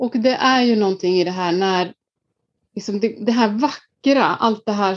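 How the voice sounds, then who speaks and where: In an Icelandic accent, a woman speaks at a fairly slow pace and medium pitch. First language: Icelandic (speaking Swedish). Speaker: leadership coach. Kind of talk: casual interview.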